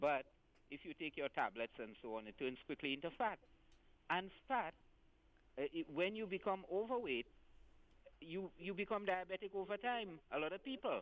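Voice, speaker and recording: Moving at a moderate pace, the voice rises and falls through very wide pitch swings, broken by long, frequent pauses. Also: man, high pitch for a man. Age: 60s. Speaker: caller. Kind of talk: call-in question. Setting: phone call. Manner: halting.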